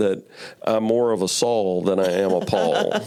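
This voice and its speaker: This is a man's voice. He has a Memphis accent. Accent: Southern US (Memphis). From US South, Memphis, Tennessee. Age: 60s. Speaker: churchgoer sharing faith story. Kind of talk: interview testimony. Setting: studio interview, early morning. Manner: halting, many fillers and repeats.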